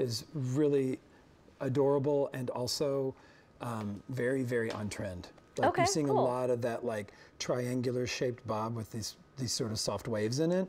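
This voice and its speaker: A moderate pace over light background noise. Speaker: guest. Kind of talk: interview answer. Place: studio.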